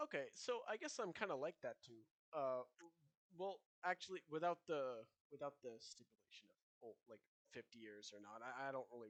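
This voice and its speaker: Speaking at a moderate pace in a non-native accent, a man with a fairly high pitch uses lively intonation, long, frequent pauses and big swings in loudness, in a dry, close sound with no echo. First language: not English. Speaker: podcast co-host. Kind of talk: casual chat.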